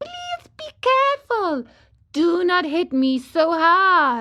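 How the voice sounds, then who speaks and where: A woman's put-on character voice, squeaky and extremely high, with very wide pitch swings at a very slow pace. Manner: pleading, beseeching.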